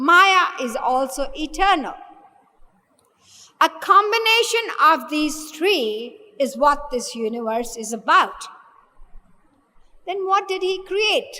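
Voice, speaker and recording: Amid audible room echo, a woman uses a raised, projected voice at a high pitch, moving at a very slow pace with very wide pitch swings and long, frequent pauses. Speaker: spiritual teacher. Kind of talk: lecture.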